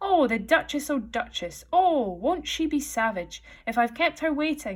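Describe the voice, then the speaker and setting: A woman puts on a high-pitched character voice. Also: moderate pace. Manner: muttering, fretful.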